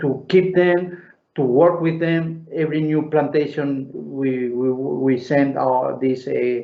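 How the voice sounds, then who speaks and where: With audible room echo, a man with a fairly high voice speaks at a very slow pace with fairly even intonation. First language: Spanish. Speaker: winemaker. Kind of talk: live Q&A at online wine tasting. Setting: video call. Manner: halting, many fillers and repetitions.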